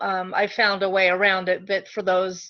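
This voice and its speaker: A woman is speaking at medium pitch. Hers is an unremarkable speaking voice. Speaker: direct sales consultant training team. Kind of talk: online training session.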